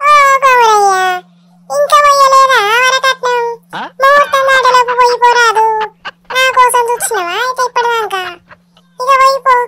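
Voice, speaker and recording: A cartoonish character voice, fairly slow and extremely high in pitch. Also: fairly even intonation. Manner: chatty, teasing.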